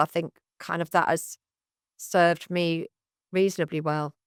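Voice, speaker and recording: A woman with a Mancunian accent and a fairly low pitch at a moderate pace, in a very clean, dry, close recording with a silent background and no echo. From northern England, Manchester. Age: 60s. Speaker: comedy club founder. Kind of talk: podcast interview.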